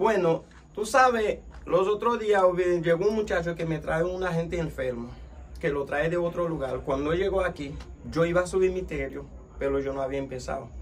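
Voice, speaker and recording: A man with a high voice and a Haitian accent speaks at a moderate pace over light background noise. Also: ordinary pitch variation. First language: Haitian Creole (speaking Spanish). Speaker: vodou priest. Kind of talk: interview. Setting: his spiritual center, at night. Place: home room. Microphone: phone near.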